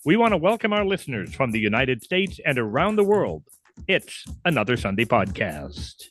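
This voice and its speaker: Over a quiet background, a man talks at a fairly quick pace and medium pitch. His voice has vocal fry and very wide pitch swings. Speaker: podcast host. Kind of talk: radio-style show opening. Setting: studio.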